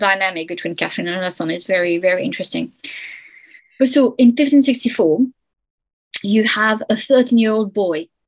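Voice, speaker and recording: Speaking at a moderate pace with a French accent, a woman uses a fairly high pitch and ordinary pitch variation. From France. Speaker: historian. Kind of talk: interview.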